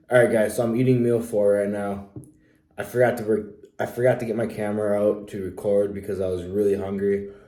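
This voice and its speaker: Fairly low, dark, mellow man's voice, monotone and flat, at a fairly quick pace with audible room echo. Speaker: fitness vlogger. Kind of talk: casual vlog.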